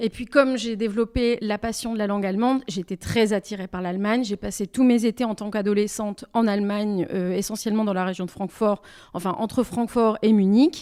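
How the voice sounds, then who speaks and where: A woman speaks at a medium pitch and a fairly quick pace. Her tone is dark and mellow, with fairly even intonation. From southwestern France, Bordeaux. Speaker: singer-songwriter. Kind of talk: interview. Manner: hesitant, many repetitions.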